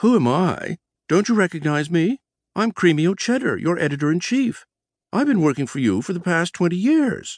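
A man's squeaky, high-pitched put-on character voice at a moderate pace, over a quiet background

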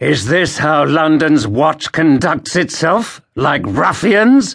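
A man puts on a character voice with a fairly high pitch, speaking at a very slow pace. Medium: read story. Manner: clipped, proud, indignant.

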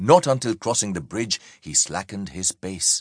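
A man with a very deep, low voice and vocal fry speaks at a moderate pace in a dramatic, animated tone. The sound is dry and close with no echo, against a quiet background. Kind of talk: audiobook narration of historical fiction, scripted reading aloud. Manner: measured, dramatic storytelling pace with vivid, animated delivery.

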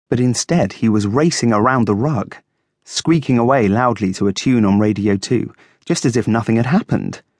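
The natural reading voice is heard with a quiet background.

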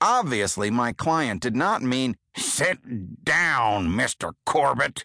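Reading aloud in a natural voice, lively intonation, quiet background

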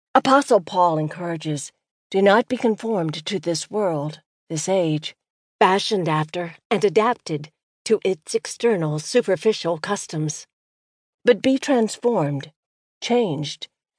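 In an ordinary speaking voice, a woman talks fairly slowly at a medium pitch with lively intonation, against a quiet background and with a dry, close sound with no echo. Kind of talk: audiobook poetry reading, devotional spoken word. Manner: measured, earnest, expressive cadence.

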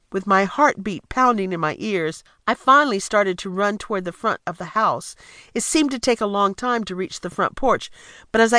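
A woman speaks in a normal speaking voice at a fairly quick pace, her fairly high pitch carried by lively intonation, with a dry, close sound, no echo and a quiet background. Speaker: audiobook narrator. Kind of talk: dramatic first-person audiobook narration, suspenseful memoir reading. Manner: suspenseful, building tension, hushed then urgent.

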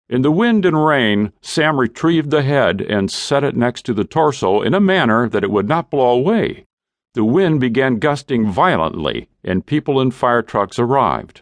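A man speaks at a moderate pace in an unremarkable speaking voice, medium in pitch, with lively intonation. The sound is dry and close, with no echo. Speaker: audiobook narrator. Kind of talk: dramatic audiobook narration of a war story. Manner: grave, measured, suspenseful pacing that builds toward the gory accident.

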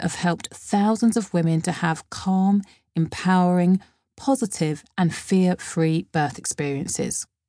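A woman speaks at a medium pitch in an unremarkable speaking voice, at a fairly slow pace. The background is quiet and the sound is dry and close, with no echo. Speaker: audiobook author-narrator. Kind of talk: audiobook reading, friendly self-help address to expectant mothers. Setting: studio. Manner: warm, chatty and upbeat; cheeky, encouraging, conversational, with playful irreverence.

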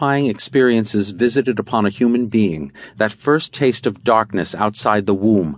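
The speaker reads in a natural reading voice with ordinary pitch variation.

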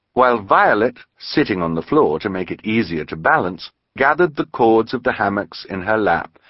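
Plain reading aloud plays out against a quiet background.

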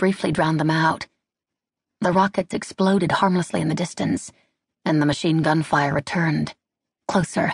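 Against a quiet background, a woman with a somewhat breathy, fairly low voice speaks at a fairly quick pace with fairly even intonation. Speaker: audiobook narrator. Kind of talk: dramatic audiobook narration of a wartime battle scene. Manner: tense, building urgency through short clipped sentences.

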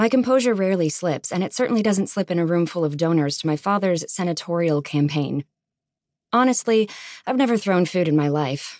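A woman with an unremarkable speaking voice talks at a fairly quick pace, her fairly low voice lively in intonation and very even in loudness. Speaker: audiobook narrator. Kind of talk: dramatic first-person audiobook narration of a romance novel. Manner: wry, sardonic, indignant, mock-composed with comic timing.

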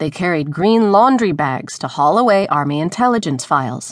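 Against a quiet background, a woman speaks at a moderate pace in a solemn tone. Her pitch swings very widely. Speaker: audiobook narrator. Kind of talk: dramatic audiobook narration of a news feature. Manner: measured, solemn, storytelling pace; crisp, fluent, building tension.

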